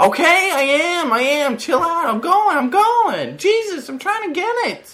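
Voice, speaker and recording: Using a put-on character voice, a man talks at a fairly slow pace in an extremely high pitch. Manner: irritated, snappy.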